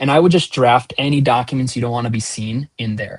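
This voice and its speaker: Speaking at a fairly quick pace, a man sounds somewhat breathy. His pitch is medium and his intonation fairly even. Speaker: product team member answering user questions. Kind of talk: live town hall Q&A.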